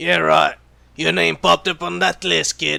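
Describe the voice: In a put-on character voice with vocal fry, a man speaks at a fairly slow pace with a fairly high pitch, little pitch movement and a bright, sharp tone, on a very clean recording with a silent background.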